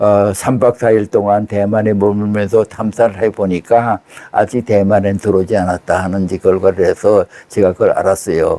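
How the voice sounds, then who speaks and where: Fairly low in pitch, a man speaks in a flat monotone at a moderate pace. The sound is dry and close, with no echo. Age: 80s+. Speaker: former intelligence officer. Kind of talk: interview.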